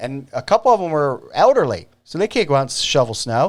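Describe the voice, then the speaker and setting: An animated man with a slight country accent and very wide pitch swings, on a very clean recording with a silent background. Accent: slight country twang. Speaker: video show host. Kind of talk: casual monologue to camera. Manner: not slow.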